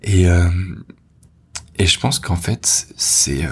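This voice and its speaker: The speaker is male. His voice sits very deep and low. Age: 20s. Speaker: podcast host, copywriter. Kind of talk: personal monologue. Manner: halting, many repetitions and fillers.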